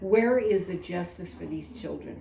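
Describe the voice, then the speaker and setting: With audible room echo, a woman speaks at a fairly slow pace and a medium pitch, using ordinary pitch variation. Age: 70s. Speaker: community advocate. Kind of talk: public testimony speech.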